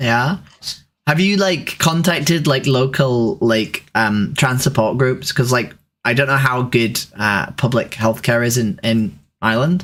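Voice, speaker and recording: A man with a normal speaking voice, medium in pitch, at a fairly slow pace and very even loudness. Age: 30s. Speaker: online activist and streamer. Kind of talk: casual chat with strangers.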